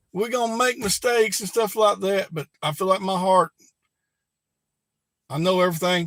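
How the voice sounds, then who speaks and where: A man with a Southern Alabama accent, high-pitched and fairly quick, with lively intonation and a dry, close sound with no echo. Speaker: prepper YouTuber. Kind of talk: live stream chat. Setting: live stream.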